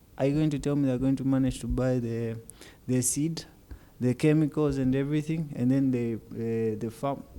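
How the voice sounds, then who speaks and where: A man speaks softly in a dark, mellow tone. His intonation is fairly even. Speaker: podcast guest. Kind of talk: casual chat. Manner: soft-spoken; quiet, low volume.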